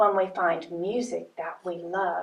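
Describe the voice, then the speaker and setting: A woman's put-on character voice, fairly low in pitch, at a fairly slow pace. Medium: read story.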